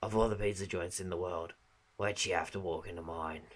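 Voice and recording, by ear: A man uses a put-on character voice with a very deep, low pitch. He talks at a fairly quick pace with fairly even intonation.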